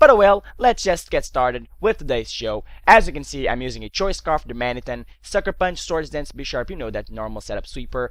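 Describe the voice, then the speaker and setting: The speech runs at a fairly quick pace with hardly any pauses and big swings in loudness. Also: man. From Portugal. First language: Portuguese. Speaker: gaming commentator. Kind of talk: live game commentary; casual video intro.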